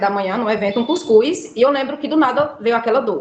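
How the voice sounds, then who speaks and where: Speaking at a very fast pace, a woman talks. Her intonation is lively. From Brazil, Alagoas (Northeast). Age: 20s. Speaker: patient sharing illness story. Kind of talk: interview testimony.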